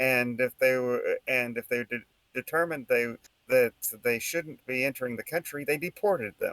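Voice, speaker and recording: A medium-pitched man with an American accent and ordinary pitch variation, in a dry, close sound with no echo. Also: moderate pace. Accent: regional Texan accent, stronger on this topic. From Texas, El Paso area. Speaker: political commentary podcast host. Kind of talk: casual political discussion. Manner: halting, with fillers and restarts.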